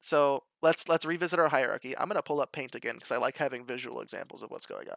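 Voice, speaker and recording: Delivered at a very fast pace with hardly any pauses, the speech sits on a very clean recording against a silent background. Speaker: programming teacher. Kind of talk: live-stream tutorial. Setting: live stream with voice chat participants. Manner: casual.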